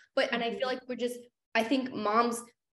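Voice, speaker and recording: A woman's fairly high-pitched voice at a fairly quick pace, with audible room echo. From Canada. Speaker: podcast host. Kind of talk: casual interview chat.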